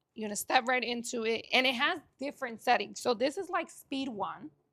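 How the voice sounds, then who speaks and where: A woman with a high pitch and a bright, sharp tone talks at a fairly quick pace in a raised, projected voice. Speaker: online fitness coach. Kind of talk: tutorial with sales pitch. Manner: animated.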